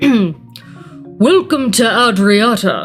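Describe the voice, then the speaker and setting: Faint music plays in the background as someone talks in a put-on character voice with a fairly high pitch. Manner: regal, welcoming.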